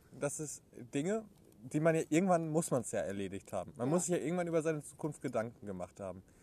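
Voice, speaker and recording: This man talks very fast in a fairly high, dark and mellow voice, his pitch swinging very widely and his loudness rising and falling a lot. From Germany, Westphalia (Rheda-Wiedenbrück). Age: 20s. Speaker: podcast co-host. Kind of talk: casual chat. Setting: outdoors.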